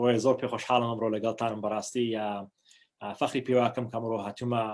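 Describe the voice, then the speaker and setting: Speaking fairly quickly in a Kurdish accent, a man keeps a monotone, flat intonation at a medium pitch. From New Hampshire, US (born in Iraq, Kurdish). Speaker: diplomat. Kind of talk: personal talk to online audience. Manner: halting, many fillers.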